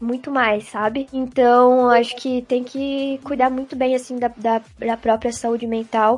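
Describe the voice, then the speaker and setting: A woman's high-pitched, monotone, flat voice with hardly any pauses. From Santa Catarina coast, southern Brazil (Barra Velha). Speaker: esports presenter and stage actress. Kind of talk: interview.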